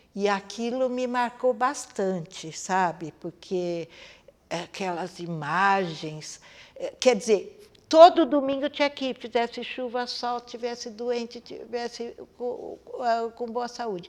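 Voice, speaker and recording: A woman's high-pitched voice with lively intonation, at a very slow pace. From Brazil, Campinas, São Paulo state. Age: 70s. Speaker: dancer. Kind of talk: interview testimony. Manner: halting, with frequent fillers.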